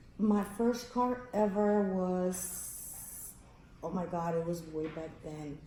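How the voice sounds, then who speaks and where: Very slow woman's speech at medium pitch, in an American accent, with audible room echo and noticeable background noise. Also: ordinary pitch variation. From Texas, Rio Grande Valley (Roma area). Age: old. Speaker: grandmother interviewed by granddaughter. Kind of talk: casual family interview.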